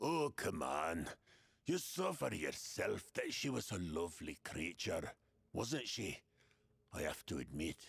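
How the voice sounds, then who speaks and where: Using a put-on character voice, a man speaks at a medium pitch and a fairly slow pace with long, frequent pauses. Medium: video game. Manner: bitter, sardonic.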